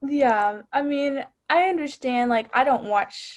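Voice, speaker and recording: A woman speaks at a fairly slow pace with a slight Texas accent. Her pitch variation is ordinary. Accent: subtle Texas. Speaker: student newspaper editor. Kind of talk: casual chat.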